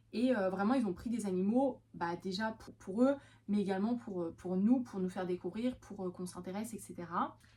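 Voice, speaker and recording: A woman talks at a moderate pace with a medium pitch. Her pitch varies in an ordinary way. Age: 20s. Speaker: vlogger and veterinary assistant. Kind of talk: casual vlog talk. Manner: hesitant, many fillers.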